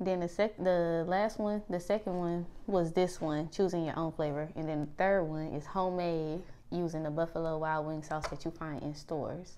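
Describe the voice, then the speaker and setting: A woman with a fairly low pitch and dark, mellow tone speaks at a moderate pace with fairly even intonation and hardly any pauses. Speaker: food vlogger. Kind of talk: casual vlog chat. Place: home room. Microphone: lapel.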